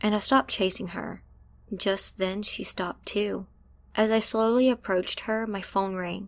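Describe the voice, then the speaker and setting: On a very clean recording with a silent background, a woman talks at a moderate pace in an ordinary speaking voice, her medium pitch following a fairly even intonation. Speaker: story narrator. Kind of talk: storytelling.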